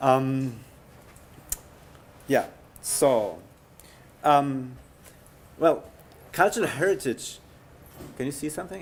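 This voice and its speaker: A man with a German accent and a medium-pitched voice. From Germany, Bavaria. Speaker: heritage conservation scientist. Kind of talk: lecture. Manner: halting.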